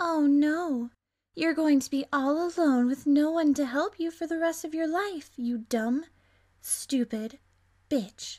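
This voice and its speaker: Using a put-on character voice, a woman speaks high and at a fairly slow pace in a very clean recording with a silent background. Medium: voice reel. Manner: sarcastic, cruel.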